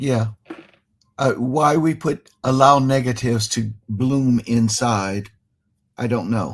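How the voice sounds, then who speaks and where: Using an American accent, a man speaks at medium pitch with ordinary pitch variation at a very slow pace, with long, frequent pauses. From Cleveland, Ohio (US Midwest). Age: 70s. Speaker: musician, talk show guest. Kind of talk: casual chat.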